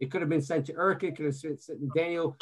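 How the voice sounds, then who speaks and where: Against a quiet background, a man speaks with fairly even intonation and fairly high pitch. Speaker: sports media executive; webinar guest. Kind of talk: webinar presentation. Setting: video call. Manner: halting, many fillers. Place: home room. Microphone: video call.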